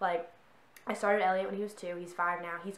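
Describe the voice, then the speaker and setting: In a room with audible echo, a woman talks at a very fast pace in a fairly low voice with fairly even intonation. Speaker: horse vlogger. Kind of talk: casual vlog chat. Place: home room. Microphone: camera far.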